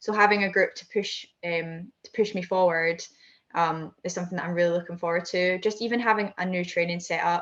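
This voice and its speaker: Speaking at a fairly quick pace in a Scottish accent, a woman keeps a fairly low pitch and fairly even intonation while her loudness swings widely. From Scotland. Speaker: high jumper and heptathlete. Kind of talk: interview answer.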